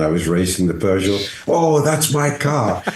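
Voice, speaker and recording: A man's fairly low voice with very wide pitch swings, over noticeable background noise. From England, near Scottish border. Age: 70s. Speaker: race car driver. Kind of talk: casual interview chat.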